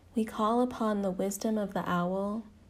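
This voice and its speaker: The voice has a calm, soothing tone, is somewhat breathy and moves at a fairly slow pace. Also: woman. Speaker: meditation guide. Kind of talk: guided meditation. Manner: slow, calm, soothing; reverent, ceremonial.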